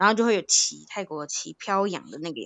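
This woman has an unremarkable speaking voice at a medium pitch. She talks at a fairly quick pace. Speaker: podcast co-host. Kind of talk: casual chat.

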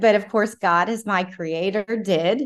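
In a normal speaking voice, a woman with an American accent talks at a fairly slow pace with ordinary pitch variation. The background is quiet. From South Carolina. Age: 40s. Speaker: pro-life lobbyist. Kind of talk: interview conversation.

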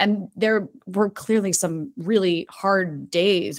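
A woman speaks with a slight New Jersey accent. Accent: General American, slight New Jersey. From New Jersey (Tewksbury Township). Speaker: actress. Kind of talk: casual interview chat.

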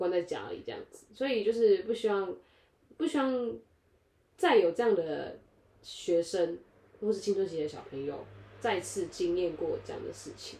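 A woman speaks at a moderate pace with big swings in loudness and long, frequent pauses. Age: 20s. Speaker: podcast co-host. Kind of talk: casual chat.

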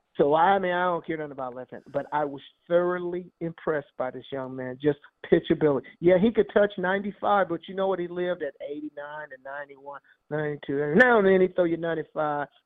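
At a moderate pace, the speaker shows big swings in loudness and ordinary pitch variation. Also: man, high pitch for a man. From San Francisco Bay Area. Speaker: baseball scout and analyst. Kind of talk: casual chat.

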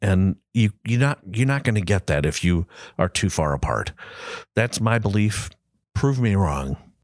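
A man with a Midwestern American accent, fairly low in pitch and fairly slow, in a dry, close sound with no echo and a very clean recording, silent background. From US Midwest, Granite City, Illinois near St. Louis. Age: 60s. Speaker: design agency principal. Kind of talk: casual interview. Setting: studio, in person across the table.

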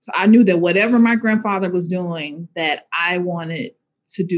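Speaking at a fairly quick pace with a Southern US accent, this voice shows ordinary pitch variation. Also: woman. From Arkansas, US South. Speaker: social justice organizer. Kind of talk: interview.

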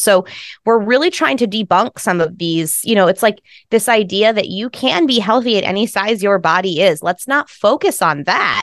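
In a plain, everyday voice, a woman talks at a fairly quick pace and a medium pitch with lively intonation, dry and close with no echo over a quiet background. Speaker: startup founder. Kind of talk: interview, promotional talk.

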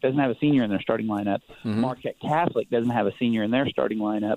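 This man has an unremarkable speaking voice. His pitch is medium with ordinary variation. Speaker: magazine writer. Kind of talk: casual chat. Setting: phone call.

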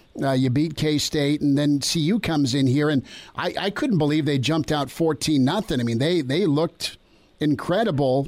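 This man has a plain, everyday voice. His pitch is fairly high, with ordinary pitch variation. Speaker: sports radio host. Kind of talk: sports interview.

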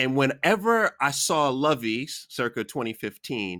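A man with an American accent speaks in a bright, sharp tone with lively intonation. The sound is dry and close with no echo, on a very clean recording with a silent background. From US Queens, New York. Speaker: podcast host. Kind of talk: casual interview.

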